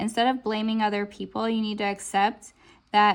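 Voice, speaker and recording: The background is silent and the recording very clean as a woman talks at a moderate speed. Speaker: tarot reader. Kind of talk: pick-a-card tarot reading. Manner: animated.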